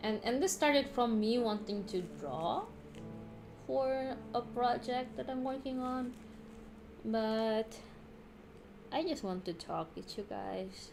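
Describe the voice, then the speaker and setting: With a non-native accent, a woman speaks at a very slow pace in a fairly high pitch with lively intonation. Her speech has long, frequent pauses, and music plays in the background. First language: not English. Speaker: streamer. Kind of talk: casual chat. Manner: halting.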